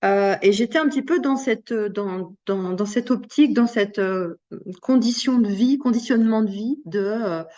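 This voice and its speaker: Her dark, mellow tone sits at a fairly high pitch as this woman talks at a fairly slow pace. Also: ordinary pitch variation. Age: 50s. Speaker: coach and sophrologist, interview guest. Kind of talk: testimony interview. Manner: hesitant, many fillers.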